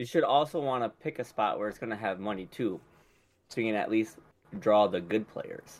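A man with an American accent talks at a moderate pace and medium pitch, in an unremarkable speaking voice with ordinary pitch variation. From Michigan. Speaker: podcast co-host.

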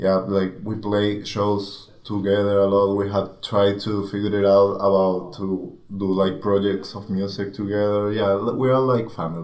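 Delivered at a fairly slow pace in a monotone, flat intonation, the speech has hardly any pauses. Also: man, fairly low pitch for a man. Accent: Spanish. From Venezuela. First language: Spanish. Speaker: touring guitarist and video producer. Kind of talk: casual interview chat.

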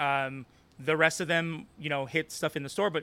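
In a normal speaking voice, a man with an American accent talks at a fairly high pitch. His pace is moderate. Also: very clean recording, silent background. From Los Angeles, US. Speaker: activist and organizer. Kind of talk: casual interview conversation.

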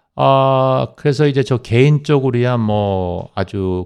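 With lively intonation, a man talks fairly slowly against a quiet background. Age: 60s. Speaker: accountant. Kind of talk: radio interview. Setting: radio studio. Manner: hesitant, many fillers.

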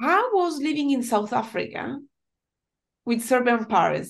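With an Italian accent, a woman speaks at a fairly slow pace in a high pitch against a quiet background. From Italy. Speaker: podcast host. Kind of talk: interview.

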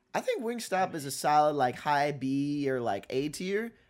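With a plain, everyday voice, a man talks at a moderate pace, his fairly high pitch rising and falling in lively intonation. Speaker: podcast host. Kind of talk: casual chat. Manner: joking.

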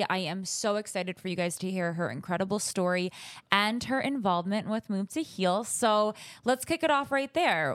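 In a very clean recording with a silent background, a woman with a plain, everyday voice talks at a moderate pace and medium pitch. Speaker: podcast host. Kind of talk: interview.

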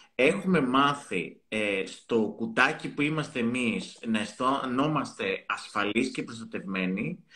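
A man's bright, sharp voice moves at a fairly slow pace. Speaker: psychotherapist. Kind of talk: casual chat.

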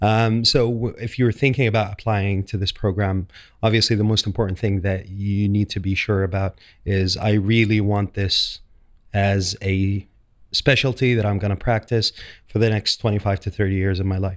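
A man with an Arabic accent speaks at a fairly low pitch in a monotone, flat intonation. The recording is very clean, with a silent background. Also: moderate pace. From Saudi Arabia. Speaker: dental specialty trainee. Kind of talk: podcast interview. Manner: hesitant, many fillers.

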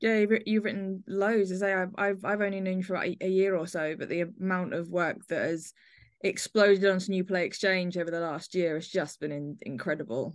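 With an ordinary speaking voice, a woman speaks at a medium pitch and a moderate pace. Her intonation is fairly even, and the background is quiet. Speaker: podcast host. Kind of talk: casual chat.

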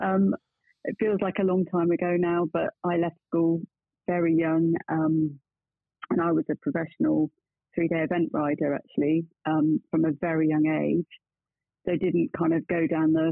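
At a moderate pace, a woman with an English accent speaks in a fairly low pitch with fairly even intonation. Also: very even loudness. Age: 50s. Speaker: bookkeeping practice founder. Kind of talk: interview.

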